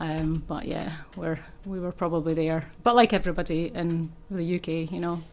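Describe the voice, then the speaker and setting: This woman has a fairly low pitch and a Scottish accent. Her intonation stays fairly even at a moderate pace. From Scotland. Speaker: chiropractor. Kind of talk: casual interview chat.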